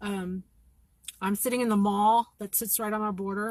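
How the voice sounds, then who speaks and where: A woman speaks at a moderate pace in a somewhat breathy, medium-pitched voice with monotone, flat intonation. The sound is dry and close, with no echo. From Kentucky. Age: 40s. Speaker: citizen live-streamer reporting from the border. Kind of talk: live stream commentary to viewers. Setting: sitting in her car in a parking lot.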